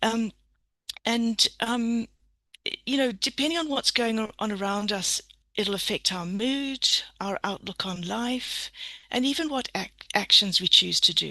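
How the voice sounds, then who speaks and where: The voice is bright and sharp, at a fairly slow pace with long, frequent pauses. The sound is dry and close with no echo against a quiet background. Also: woman, ordinary pitch variation. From Zimbabwe. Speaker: permaculture educator, seminar presenter. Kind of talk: online seminar presentation. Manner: gentle, calm.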